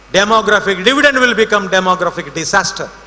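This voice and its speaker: Over noticeable background noise, a man speaks in a raised, projected voice at a very fast pace. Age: 60s. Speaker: invited speaker at college event. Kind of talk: ceremonial speech.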